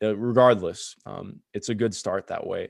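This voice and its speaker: A man speaks at a moderate pace with an American accent, in an ordinary speaking voice. His intonation is fairly even, and the sound is dry and close with no echo over a quiet background. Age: 20s. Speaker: sports podcast host. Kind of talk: casual chat.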